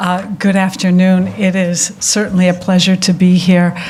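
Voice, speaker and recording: In an American accent, a woman with a fairly low pitch talks at a fairly slow pace in a monotone, flat delivery, with audible room echo and noticeable background noise. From United States. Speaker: architecture prize director. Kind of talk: lecture. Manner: hesitant, many fillers.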